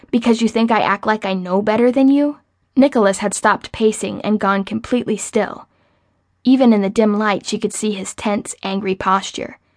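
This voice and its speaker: A woman with a plain, everyday voice speaks at a fairly high pitch and a moderate pace, with fairly even intonation over a quiet background. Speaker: audiobook narrator. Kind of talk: audiobook narration with acted-out heated argument dialogue. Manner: sharp, sarcastic and bristling with anger in Becca's lines.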